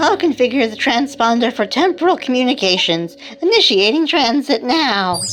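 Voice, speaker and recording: A female-sounding voice puts on a character at a high pitch and a moderate pace. Clear background noise runs underneath. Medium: comedy sketch. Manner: musing, earnest.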